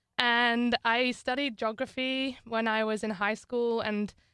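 A woman's bright, sharp tone with a northern English accent and fairly even intonation. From northern England. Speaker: student athlete. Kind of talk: interview.

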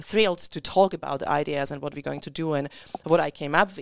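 The speaker has an Eastern European accent. Their pitch varies in an ordinary way. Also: woman. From Central or Eastern Europe. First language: Eastern European language. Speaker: community radio co-host. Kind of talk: casual chat. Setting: radio studio. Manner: fast talker.

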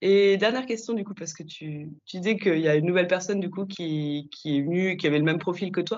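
A woman with a fairly low pitch and a normal speaking voice talks at a fairly quick pace with hardly any pauses. Her loudness swings a lot, while her pitch varies in an ordinary way. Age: young. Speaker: chemist and podcast host. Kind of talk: interview.

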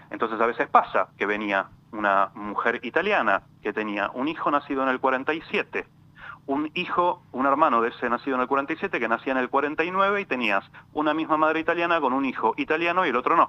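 Lively intonation marks this man's fairly high-pitched voice. He talks at a moderate pace, and the sound is dry and close with no echo. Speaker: lawyer specialising in European citizenship. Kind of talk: interview. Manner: halting.

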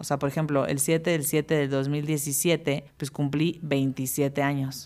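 A woman speaks with fairly even intonation in a very deep, low pitch. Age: 30s. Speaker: podcast host. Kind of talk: casual monologue.

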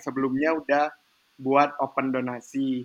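A man with a bright, sharp tone talks at a moderate pace in a flat monotone over a quiet background. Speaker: university student. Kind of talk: casual chat.

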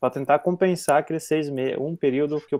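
This man has a normal speaking voice, pitched fairly high, and talks at a fairly quick pace. The recording is very clean with a silent background. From southern Brazil (Paraná). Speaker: agronomy student. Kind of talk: casual chat.

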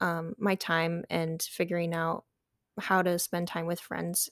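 With an ordinary speaking voice, a woman talks at a moderate pace and a fairly low pitch. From eastern Michigan, near Detroit. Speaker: college student. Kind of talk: casual interview.

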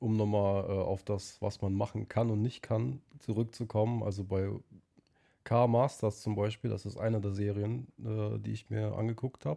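On a very clean recording with a silent background, a man with a fairly low pitch and a dark, mellow tone speaks with fairly even intonation. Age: 20s. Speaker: car enthusiast. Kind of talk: casual chat.

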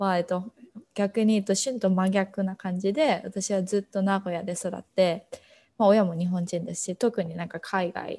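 On a very clean recording with a silent background, a woman at medium pitch speaks at a moderate pace in a dark, mellow tone. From Japan, Nagoya. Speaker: student podcast co-host. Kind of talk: casual self-introduction chat.

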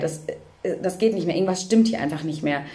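A woman talks very rapidly, with audible room echo and noticeable background noise around her. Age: 20s. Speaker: social worker and mother with OCD. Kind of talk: personal testimony in interview.

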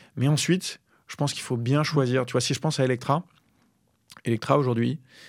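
On a very clean recording with a silent background, a man talks at a fairly quick pace with a medium pitch and fairly even intonation. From Paris region, France. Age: 30s. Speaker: startup founder. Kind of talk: interview. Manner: hesitant, many fillers.

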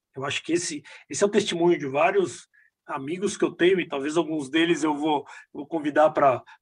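A man's high-pitched speech comes at a fairly quick pace. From Brazil, Minas Gerais (Belo Horizonte). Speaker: business executive. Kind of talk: casual interview. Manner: halting, repetitive fillers.

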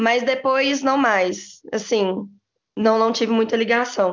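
The woman has an ordinary speaking voice at a fairly high pitch. She talks fairly slowly with ordinary pitch variation. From Brazil, Belo Horizonte (Minas Gerais). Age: 20s. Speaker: former student engineering team member, bank employee. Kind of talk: casual interview chat.

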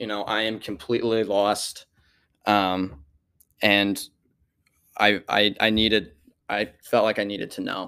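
With a Midwestern American accent, a man speaks at a moderate pace in a fairly low pitch, his tone bright and sharp and his intonation monotone and flat. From Missouri, St. Louis area. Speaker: college student speaker. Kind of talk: testimony. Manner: halting, many fillers.

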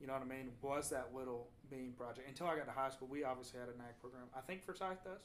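This man talks at a very fast pace with a Southern US accent. His pitch is medium, with ordinary pitch variation. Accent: Southern US (Georgia). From US South (north Georgia). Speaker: podcast host, agriculture. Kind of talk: casual chat. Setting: living room recording.

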